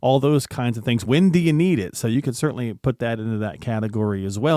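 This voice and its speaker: A man with an American accent has an ordinary speaking voice at medium pitch. The recording is very clean with a silent background, and the sound is dry and close with no echo. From US South. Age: 50s. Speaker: radio co-host. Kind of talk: radio talk show conversation.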